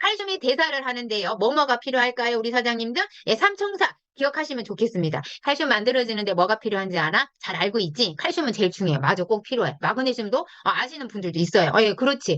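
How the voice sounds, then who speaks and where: Delivered at a very fast pace, the voice has an animated tone and very wide pitch swings. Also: woman, fairly high pitch for a woman. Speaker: product lecturer for a direct-sales company. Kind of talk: online product lecture. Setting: video call.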